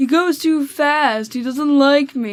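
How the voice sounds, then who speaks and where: In a put-on character voice, a woman speaks high and whiny. Her pace is fairly slow. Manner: whiny, complaining.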